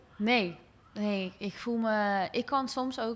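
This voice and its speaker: A woman's fairly high pitch varies in an ordinary way on a very clean recording with a silent background. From Rotterdam, Netherlands, partly abroad. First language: bilingual Dutch and English (speaking Dutch). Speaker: podcast host. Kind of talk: casual interview.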